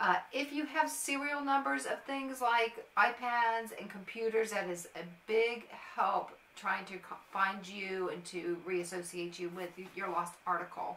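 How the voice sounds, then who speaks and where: Over light background noise and audible room echo, a woman talks at a fairly slow pace. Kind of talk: informational vlog talk. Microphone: phone near.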